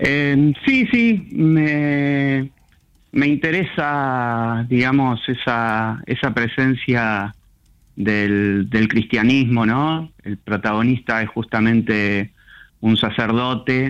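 Over a quiet background, a man speaks at a very slow pace, his medium-pitched voice showing ordinary pitch variation. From Argentina, Buenos Aires southern suburbs (Lanús). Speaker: novelist. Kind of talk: radio interview. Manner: halting, many fillers.

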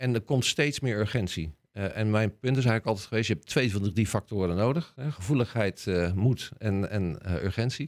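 Dry and close with no echo, in a very clean recording with a silent background, a man speaks at a fairly low pitch and a moderate pace with ordinary pitch variation and hardly any pauses. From Rotterdam, Netherlands. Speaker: scientist. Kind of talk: casual interview.

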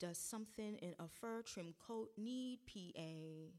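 A woman talks at a fairly slow pace in a fairly high pitch with ordinary pitch variation. Hers is a normal speaking voice. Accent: American. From Brooklyn, New York. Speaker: poet. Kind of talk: poetry reading. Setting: live reading at a church.

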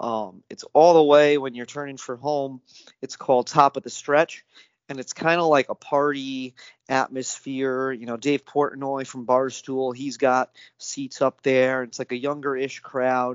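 With an American accent and a medium pitch, a man speaks at a fairly slow pace in monotone, flat intonation, with big swings in loudness. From upstate New York, near Saratoga Springs. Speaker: horse racing enthusiast. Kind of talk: interview.

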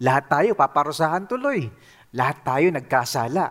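A man with an unremarkable speaking voice, lively intonation, moderate pace, very clean recording with a silent background. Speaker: pastor. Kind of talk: sermon.

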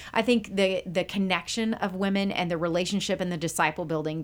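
A woman with an American accent talks at a fairly quick pace in a fairly low pitch, using ordinary pitch variation. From Texas, Houston area. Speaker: women's pastor. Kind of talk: casual interview. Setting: studio, wearing headphones. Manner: animated.

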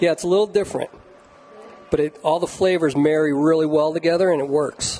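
A fairly high-pitched man with an American accent, amid noticeable background noise. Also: fairly even intonation, fairly quick pace. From Indiana. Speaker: chef and taco restaurant owner. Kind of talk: casual chat. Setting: studio kitchen.

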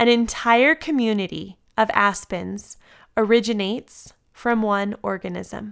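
In an American accent, a woman with a plain, everyday voice and a fairly high pitch speaks with fairly even intonation on a very clean recording with a silent background. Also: fairly slow pace. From US West Coast (San Diego, California). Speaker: yoga teacher and devotional podcaster. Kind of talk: devotional reading. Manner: warm, gentle.

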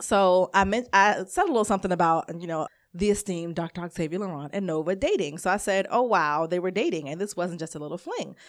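A woman with an American accent talks very fast with hardly any pauses in an animated tone, her medium pitch showing ordinary variation, on a very clean recording with a silent background. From Maryland, Prince George's County. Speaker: podcast co-host. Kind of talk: casual chat.

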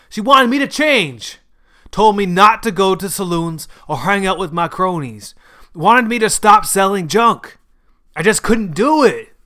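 In a put-on character voice, a man speaks at a high pitch and fairly slow pace with lively intonation and a bright, sharp tone, on a very clean recording with a silent background.

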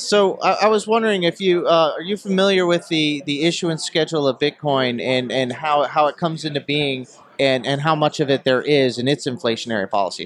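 Over noticeable background noise, a man talks at a fairly quick pace with hardly any pauses. His pitch is fairly high and his intonation lively. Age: 30s. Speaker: interviewer. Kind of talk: casual interview.

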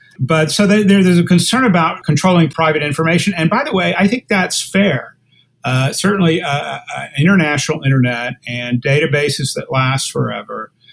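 This man, with an American accent, has a normal speaking voice and a fairly high pitch. His intonation is lively and his pace is moderate. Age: 60s. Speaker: lawyer and internet policy author. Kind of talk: interview.

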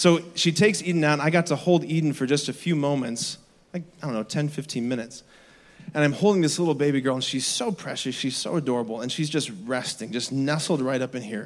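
Delivered at a very fast pace, the voice has an animated tone. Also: man, fairly high pitch for a man, ordinary pitch variation. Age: 30s. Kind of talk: energetic youth-camp homily at a closing Mass, preached to teens and parents. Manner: animated, conversational and repetitive, with audience call-and-response.

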